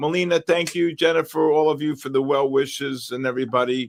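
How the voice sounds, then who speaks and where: In a New York accent, a man talks at a moderate pace with fairly even intonation. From New York, the Bronx. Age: 60s. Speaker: futures trading livestream host. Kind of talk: live trading stream chat. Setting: livestream.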